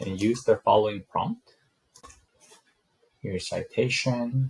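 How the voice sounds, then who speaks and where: A man talking at a very slow pace, the sound dry and close with no echo. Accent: non-native. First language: not English. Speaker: student presenter. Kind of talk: class presentation with screen demo. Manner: hesitant, frequent um fillers.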